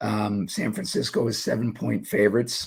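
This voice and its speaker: Vocal fry runs through this man's voice. His pitch is fairly low. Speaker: sports betting analyst. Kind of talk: sports analysis commentary. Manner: casual, filler-heavy.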